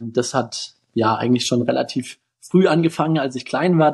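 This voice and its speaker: The man has a plain, everyday voice pitched fairly high. He speaks at a moderate pace with ordinary pitch variation. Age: 20s. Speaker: physician and health-tech founder. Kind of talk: interview.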